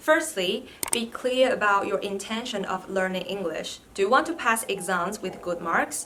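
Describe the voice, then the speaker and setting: Over noticeable background noise, a woman with a Chinese accent speaks with lively intonation. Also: medium pitch for a woman, moderate pace. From China. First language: Mandarin Chinese. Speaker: vlogger, PhD student. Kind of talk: vlog tutorial.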